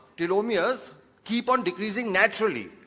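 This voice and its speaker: Speaking at a moderate pace, a man uses a high-pitched voice. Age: 60s. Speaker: neurosurgeon. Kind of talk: lecture.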